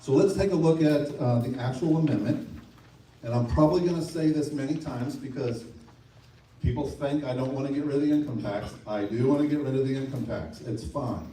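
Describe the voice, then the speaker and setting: A man with a fairly high-pitched voice talks at a fairly quick pace, his pitch varying in an ordinary way, with audible echo in the room. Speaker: state legislator. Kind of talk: public meeting presentation.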